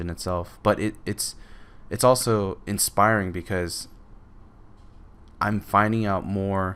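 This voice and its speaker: The speaker mumbles at a fairly slow pace with fairly even intonation and long, frequent pauses, on a very clean recording with a silent background. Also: man. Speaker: digital painting artist and tutor. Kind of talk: tutorial commentary. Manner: mumbling; halting, many fillers.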